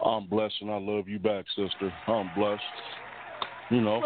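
A man speaks at a fairly low pitch with monotone, flat intonation. There is noticeable background noise. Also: moderate pace. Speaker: radio show caller. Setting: phone.

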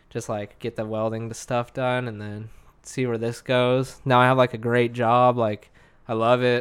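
Monotone, flat intonation at a moderate pace. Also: man, medium pitch for a man. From Arizona, Lake Havasu. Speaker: welder. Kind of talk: casual chat.

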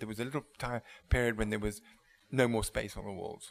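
A man with an English accent at medium pitch, fairly quick in pace, with monotone, flat intonation. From England. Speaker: wine bar owner. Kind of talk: interview. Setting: restaurant. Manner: halting.

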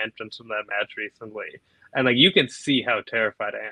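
A man with an American accent talks at a medium pitch with ordinary pitch variation, in an unremarkable speaking voice. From Naperville, Illinois, US Midwest. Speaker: professional wrestler. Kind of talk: casual interview chat.

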